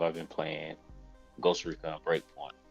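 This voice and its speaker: A man talks with music playing in the background. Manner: low, relaxed.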